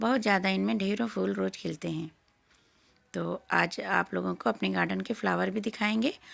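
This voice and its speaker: Speaking at a fairly slow pace, a woman with a very deep, low pitch and vocal fry makes very wide pitch swings on a very clean recording with a silent background. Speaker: gardening vlogger. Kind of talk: garden tour vlog.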